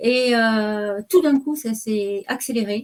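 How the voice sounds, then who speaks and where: Speaking at a very slow pace, a woman has a fairly high pitch. Her pitch variation is ordinary. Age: 60s. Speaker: retiree sharing health testimony. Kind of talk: testimony. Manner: hesitant.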